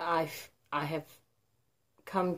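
Her intonation is monotone and flat as the woman talks. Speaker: vlogger. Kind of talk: casual emotional vlog chat.

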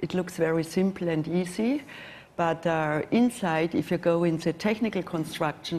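A woman with a German accent, fairly low in pitch, at a moderate pace. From Germany. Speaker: watch brand executive; panelist. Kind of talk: panel discussion. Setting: stage with audience. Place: hall.

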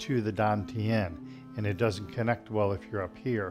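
Clear music plays in the background while a man talks at a moderate pace. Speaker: tai chi instructor. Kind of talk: tutorial. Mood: calm, friendly. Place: home room.

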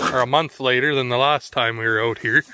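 A man delivers his words at a moderate pace. Behind him, background noise is noticeable. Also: dry sound with no echo. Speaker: farm vlogger. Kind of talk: casual vlog chat. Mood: relaxed. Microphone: phone near.

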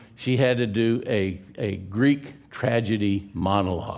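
A man with an American accent speaks at a fairly low pitch, with ordinary pitch variation. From California. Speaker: pastor. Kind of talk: sermon. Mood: humorous, relaxed. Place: church.

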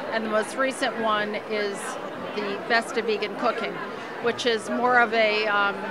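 A woman speaks at a fairly slow pace, the sound dry with no echo, with crowd noise in the background. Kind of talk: interview answer. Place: hall. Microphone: handheld.

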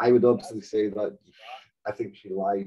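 A man's dark, mellow tone rises and falls with lively intonation. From Scotland, Outer Hebrides (Stornoway). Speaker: storyteller guest. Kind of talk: casual chat. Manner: animated, profane. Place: home room. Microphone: video call.

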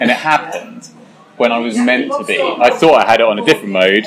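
There is noticeable background noise behind a man's voice at a medium pitch. He speaks at a very fast pace. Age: 30s. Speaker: guitar pedal maker. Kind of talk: casual chat. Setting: pub. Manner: animated.

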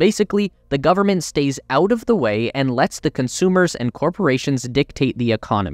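Over a quiet background, a man with a plain, everyday voice and a fairly high pitch talks at a moderate pace. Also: dry, close sound with no echo. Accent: Canadian. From Canada. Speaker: YouTube tech channel narrator. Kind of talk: scripted narration.

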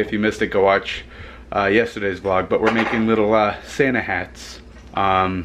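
A man with a normal speaking voice at a moderate pace, fairly even intonation, and light background noise. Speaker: family vlogger. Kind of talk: casual vlog chat. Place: kitchen. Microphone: phone near.

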